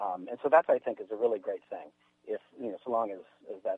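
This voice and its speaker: Here a man speaks with an American accent. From US, mixed (Mississippi, Washington, Montana). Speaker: fiction writer and creative writing teacher. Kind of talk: radio interview. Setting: studio. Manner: halting, many fillers.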